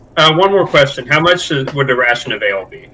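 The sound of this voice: Speaking fast with lively intonation, a man uses a medium pitch and a bright, sharp tone amid audible room echo.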